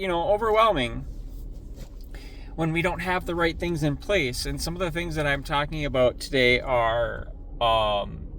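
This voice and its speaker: A man talks at a moderate pace. There is audible echo from the room. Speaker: recovery vlogger. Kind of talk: casual motivational talk. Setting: in a truck. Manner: loud.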